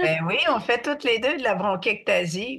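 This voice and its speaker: The speech comes at a very slow pace with lively intonation. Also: woman. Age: 70s. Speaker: artist and mental health advocate. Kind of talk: podcast interview.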